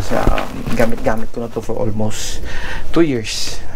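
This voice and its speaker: Over noticeable background noise, a man talks at a fairly slow pace. His intonation is monotone and flat. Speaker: motovlogger. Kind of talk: casual vlog chat. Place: home room.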